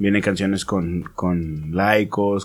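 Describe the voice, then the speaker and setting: A man's fairly low voice, very slow and with fairly even intonation. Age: 20s. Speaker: rapper / solo musician. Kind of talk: casual chat. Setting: studio.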